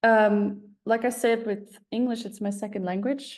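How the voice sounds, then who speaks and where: A woman's dark, mellow voice in an Icelandic accent. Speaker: songwriter. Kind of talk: online masterclass lecture. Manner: hesitant, many filler words.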